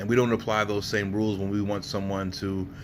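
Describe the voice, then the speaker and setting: A man speaks with a New Jersey accent. His pitch is fairly low. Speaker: entrepreneur vlogger. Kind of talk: casual monologue vlog. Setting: hotel room. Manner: hesitant, many fillers.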